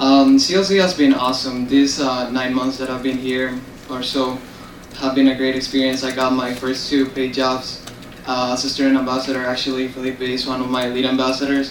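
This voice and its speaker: A man's medium-pitched voice at a fairly quick pace, flat and monotone, with audible room echo and noticeable background noise. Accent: Spanish. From Honduras. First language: Spanish. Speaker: international student. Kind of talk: board meeting testimony.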